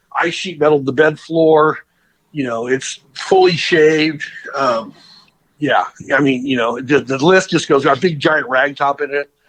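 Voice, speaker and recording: A man with an American accent and a normal speaking voice talks at a moderate pace, his fairly high pitch showing ordinary variation. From Southern California. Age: 50s. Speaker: custom car builder. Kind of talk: interview. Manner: casual.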